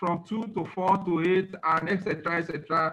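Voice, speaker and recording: The man speaking has a high-pitched voice. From Nigeria. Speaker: alternative medicine professor. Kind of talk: lecture. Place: office. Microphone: webcam.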